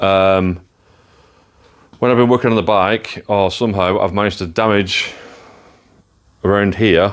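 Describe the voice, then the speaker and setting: A man with an English accent, fairly low-pitched, at a moderate pace with long, frequent pauses, fairly even intonation and very even loudness. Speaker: motorcycle builder and video maker. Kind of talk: workshop vlog. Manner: casual, with fillers.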